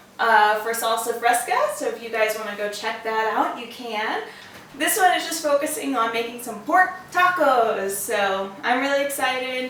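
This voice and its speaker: Over noticeable background noise, a woman with an American accent speaks at a moderate pace, her high pitch carrying lively intonation. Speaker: home cook, mother. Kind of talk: casual cooking vlog talk.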